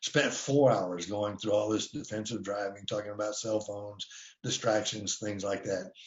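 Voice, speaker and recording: A man's voice comes out somewhat breathy and fairly low in pitch. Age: 60s. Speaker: defensive driving instructor. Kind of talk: webinar presentation. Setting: online webinar. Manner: hesitant, many filler words.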